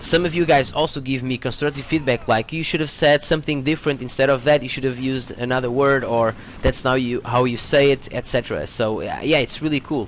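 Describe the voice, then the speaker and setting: A man with a non-native accent and medium pitch speaks at a fairly quick pace with hardly any pauses and fairly even intonation, over noticeable background noise. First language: not English. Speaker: gaming YouTuber. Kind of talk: casual vlog Q&A. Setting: home room. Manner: hesitant, many fillers and repetitions.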